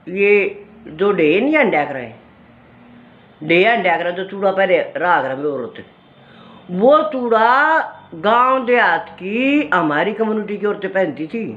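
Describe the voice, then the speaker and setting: A woman in a Haryanvi accent speaks at a medium pitch with very wide pitch swings. Room echo is audible. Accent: Haryanvi-accented Hindi. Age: 60s. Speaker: cultural storyteller, video creator. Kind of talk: casual talk on culture and memories.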